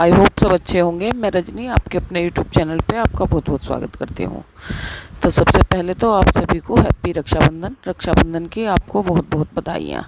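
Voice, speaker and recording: Against noticeable background noise, a woman talks at a fairly low pitch with ordinary pitch variation. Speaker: village vlogger. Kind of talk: vlog narration.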